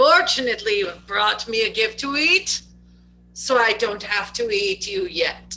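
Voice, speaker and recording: A booming, put-on character voice, fairly high in pitch and raised and projected, over faint music in the background. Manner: regal, jovial yet imposing.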